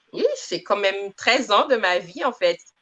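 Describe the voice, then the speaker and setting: The speaker is a woman of medium pitch. Her pace is very slow. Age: 30s. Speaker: community manager, former medical secretary. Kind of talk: interview.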